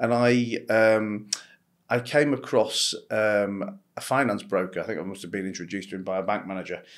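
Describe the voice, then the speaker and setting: With a British accent, a man talks at a moderate pace in a fairly low voice, using ordinary pitch variation and big swings in loudness. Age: 40s. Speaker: entrepreneur and investor. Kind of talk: interview conversation. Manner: halting, with frequent repetitions and fillers.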